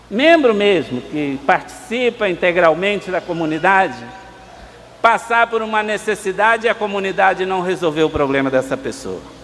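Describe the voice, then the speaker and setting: A man's pitch swings very widely as he talks at a moderate pace, with noticeable background noise behind him. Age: 60s. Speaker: priest. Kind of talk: sermon.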